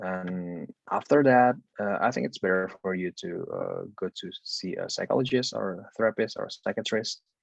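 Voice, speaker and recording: Someone with an Indonesian accent talks at a moderate pace in a dry, close sound with no echo. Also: man. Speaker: university student, guest speaker. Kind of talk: coaching talk.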